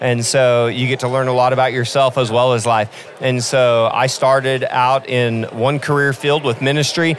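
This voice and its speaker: A man's voice at a very even loudness, with hardly any pauses and noticeable background noise. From Oklahoma (Hooker, panhandle). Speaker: coffee shop founder, nonprofit entrepreneur. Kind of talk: podcast interview. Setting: live event at coffee festival. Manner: animated.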